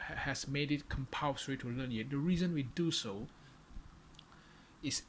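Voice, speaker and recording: The speaker has a strong non-native accent. The pace is moderate. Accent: non-native English, far from native. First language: Chinese. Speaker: vlogger. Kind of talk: solo monologue to camera. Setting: alone in front of a camera. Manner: halting, many fillers and repetitions.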